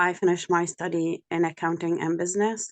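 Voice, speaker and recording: Fairly low female voice with an Arabic accent at a fairly quick pace. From Jordan. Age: 40s. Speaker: bereaved parent, peace activist. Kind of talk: webinar testimony.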